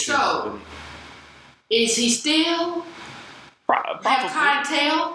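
A woman with a high pitch and ordinary pitch variation uses a raised, projected voice. She talks at a very slow pace, with long, frequent pauses. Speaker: podcast co-host. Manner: loud, gets louder when excited; loud.

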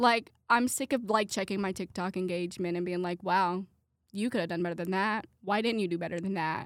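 A woman speaks at a fairly quick pace, her pitch in the medium range, with a Midwestern American accent. The recording is very clean, with a silent background. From Indiana (Brownsburg). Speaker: college student podcaster. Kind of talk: casual solo monologue. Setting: studio with headset mic. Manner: animated.

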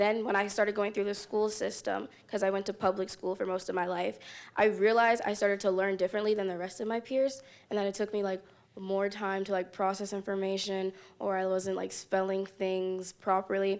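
A woman speaks at a fairly quick pace. Her pitch is medium for a woman and her intonation is monotone and flat. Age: young. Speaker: student leader. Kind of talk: live panel discussion. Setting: stage with audience.

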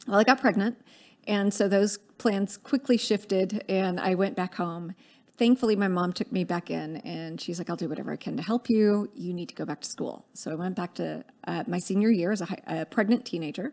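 In an American accent, a woman with a plain, everyday voice speaks at medium pitch and a fairly quick pace with ordinary pitch variation, on a very clean recording with a silent background. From US South, Dallas, Texas. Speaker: political organizer. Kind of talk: interview.

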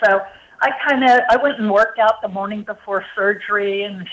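With an unremarkable speaking voice, a woman talks at medium pitch with ordinary pitch variation. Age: 60s. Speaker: cancer survivor and medical product founder. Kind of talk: testimony. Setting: phone call.

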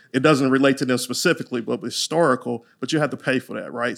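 The speech moves at a very fast pace. The intonation is monotone and flat. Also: man. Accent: Louisiana. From Louisiana. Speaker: franchise attorney. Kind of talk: casual interview chat.

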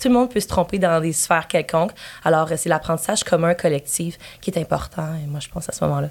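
A woman's fairly low voice at a very fast pace. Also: ordinary pitch variation. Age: 20s. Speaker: volunteer speaker for LGBTQ+ organization. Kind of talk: casual interview.

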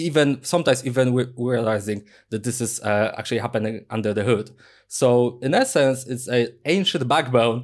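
A man with a medium pitch speaks at a moderate rate, his pitch varying in an ordinary way. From Poland. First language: Polish. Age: 30s. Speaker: software engineer and online instructor. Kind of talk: podcast interview. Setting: video call.

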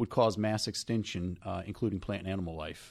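With a New Jersey accent, a man speaks at a fairly low pitch and a fairly quick pace, his intonation fairly even. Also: very clean recording, silent background. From North Jersey. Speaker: podcast co-host, real estate agent. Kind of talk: casual chat. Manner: hesitant, many fillers and repeats.

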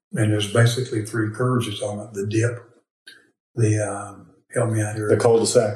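A man speaks at a moderate pace and medium pitch. His voice is somewhat breathy, with monotone, flat intonation. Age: 60s. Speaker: financial advisor and military veteran. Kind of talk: interview. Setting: portable recorder on a table, not in a studio.

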